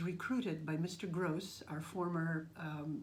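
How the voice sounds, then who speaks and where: A woman speaks in a fairly low, somewhat breathy voice at a fairly slow pace. Her intonation stays fairly even, and room echo is audible. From Russian family, raised across Austria, Brazil and Canada. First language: Russian. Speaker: language teacher. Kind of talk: interview. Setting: at a school. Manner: halting.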